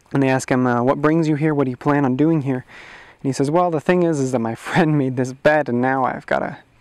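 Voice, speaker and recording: Against a quiet background, a man speaks very fast with fairly even intonation. The sound is dry with no echo. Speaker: storyteller. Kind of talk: oral storytelling. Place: forest. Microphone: lapel.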